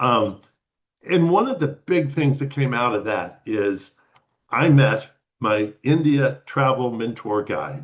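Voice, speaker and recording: Speaking very slowly, a man uses a medium pitch and ordinary pitch variation. He has an American accent. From Texas. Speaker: retired lawyer and spiritual traveler. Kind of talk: personal storytelling talk. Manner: halting, many fillers and repeats.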